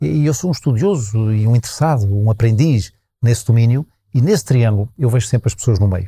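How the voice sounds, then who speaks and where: A man speaks in a dark, mellow tone that is somewhat breathy. His pace is fairly quick. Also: medium pitch for a man, ordinary pitch variation, very even loudness, very clean recording, silent background. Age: 60s. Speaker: festival organizer and sustainability consultant. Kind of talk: interview. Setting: live at a festival. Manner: halting.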